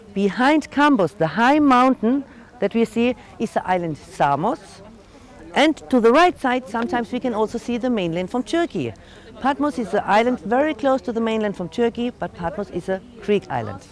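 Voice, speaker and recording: A woman with a German accent, fairly high pitch, very wide pitch swings and a moderate pace. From Germany. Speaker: tour guide. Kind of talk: guided tour.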